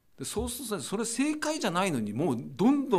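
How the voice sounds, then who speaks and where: Very fast in pace, a man speaks with a high pitch. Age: 60s. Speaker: radio announcer. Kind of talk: casual chat. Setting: video call.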